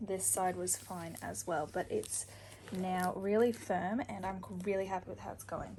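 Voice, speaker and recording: A woman's fairly slow speech over noticeable background noise. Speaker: cosplayer and vlogger. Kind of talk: casual vlog. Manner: quiet.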